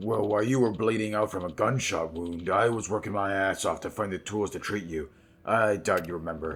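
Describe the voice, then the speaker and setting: A man uses a put-on character voice that is raspy and fairly low in pitch. He delivers it at a fairly quick pace. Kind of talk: reading game dialogue aloud. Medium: game stream.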